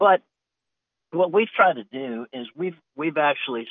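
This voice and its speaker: A man with an American accent uses an ordinary speaking voice with ordinary pitch variation. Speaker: cattle rancher and hunting land owner. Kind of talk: casual chat.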